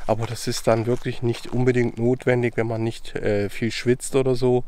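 The tone is dark and mellow, with monotone, flat intonation. The sound is dry, without any echo. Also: man. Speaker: travel vlogger. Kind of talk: casual vlog chat. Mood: cheerful, relaxed. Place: forest. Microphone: phone near.

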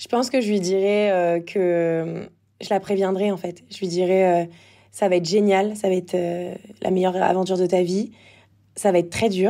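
This woman has a dark, mellow tone and a medium pitch. Her intonation is monotone and flat at a moderate pace. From Normandy, France (Évreux). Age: 20s. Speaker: former athlete turned entrepreneur. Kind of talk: casual interview. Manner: hesitant, many fillers.

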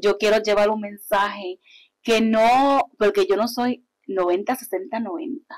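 At a very slow pace, a woman speaks with a fairly high pitch and ordinary pitch variation against a quiet background. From Puerto Rico (Yabucoa), born in Hartford; Puerto Rico. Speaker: artist promoter and pageant queen; guest. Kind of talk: interview, casual chat. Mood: warm, animated. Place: studio. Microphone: lapel.

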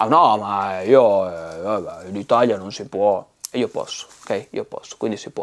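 With big swings in loudness, a man talks at a fairly slow pace. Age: 40s. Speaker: bonsai seller. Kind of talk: casual vlog rant. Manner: animated. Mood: blunt, joking, swears. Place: studio. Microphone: lapel.

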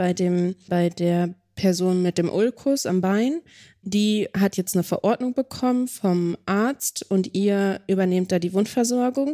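In a very clean recording over a silent background, a woman speaks at a fairly slow pace with very even loudness, a dark, mellow tone, ordinary pitch variation and a medium pitch. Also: dry, close sound with no echo. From Lower Saxony, Germany. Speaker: podcast co-host. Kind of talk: podcast interview. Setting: on location at a nursing service.

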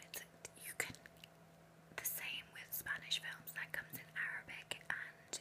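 A woman is speaking. She is whispering. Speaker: vlogger. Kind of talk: casual close-up vlog chat. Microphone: webcam.

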